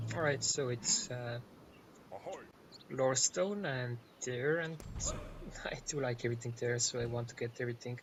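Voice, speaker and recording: A man with a somewhat breathy, medium-pitched voice and ordinary pitch variation talks at a moderate pace, broken by long, frequent pauses. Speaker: gaming youtuber. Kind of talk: gameplay commentary.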